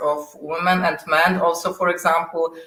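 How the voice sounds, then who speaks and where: A woman speaks in a Polish accent with ordinary pitch variation, and audible room echo surrounds her voice. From Poland. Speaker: software test manager. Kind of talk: interview. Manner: halting.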